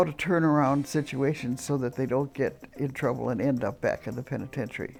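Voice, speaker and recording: Music plays in the background. A woman with a very deep, low voice speaks with fairly even intonation. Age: 80s+. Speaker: prison volunteer facilitator. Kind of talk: interview answer.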